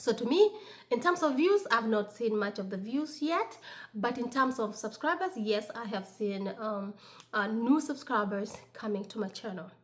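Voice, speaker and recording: A woman with an African accent speaks at a moderate pace with lively intonation and a fairly high pitch, over noticeable background noise. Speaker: lifestyle vlogger. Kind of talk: casual vlog talk. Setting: at home on Sunday morning. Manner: halting, many fillers.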